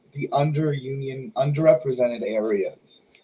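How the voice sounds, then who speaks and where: With an American accent, a man speaks in a fairly high pitch and a dark, mellow, somewhat breathy tone, his pitch varying in an ordinary way. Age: 20s. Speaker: podcast host. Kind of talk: casual chat. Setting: live stream.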